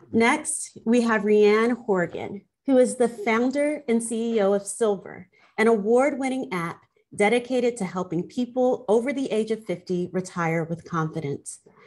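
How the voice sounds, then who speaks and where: The pace is fairly slow. The background is quiet. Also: woman, fairly high pitch for a woman. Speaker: law professor. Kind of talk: panel moderation. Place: office. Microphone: video call.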